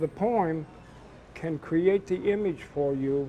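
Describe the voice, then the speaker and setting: A man's fairly high voice with ordinary pitch variation, over noticeable background noise. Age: 70s. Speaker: poet. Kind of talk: interview.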